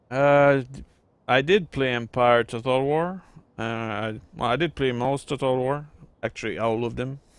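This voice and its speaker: A man speaks at a medium pitch. His pace is fairly slow, with ordinary pitch variation. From Quebec, French Canada. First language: French. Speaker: gaming YouTuber. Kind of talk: let's play commentary. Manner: casual, hesitant with fillers.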